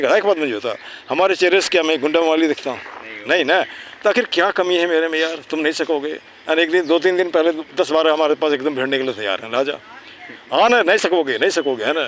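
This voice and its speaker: A man's voice amid noticeable background noise. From Bihar, India (Munger area). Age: 60s. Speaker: community activist and English tutor. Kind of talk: casual outdoor chat with students. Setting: outdoors in a park. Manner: animated.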